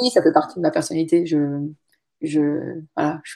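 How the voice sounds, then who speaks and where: A woman is speaking. Her pace is fairly slow. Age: 40s. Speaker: website founder. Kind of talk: interview.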